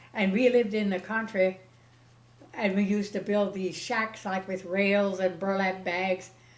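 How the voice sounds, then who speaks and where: Over noticeable background noise, a woman talks in a monotone with flat intonation. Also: medium pitch for a woman, moderate pace. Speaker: retired teacher, librarian and storyteller. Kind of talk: interview answer.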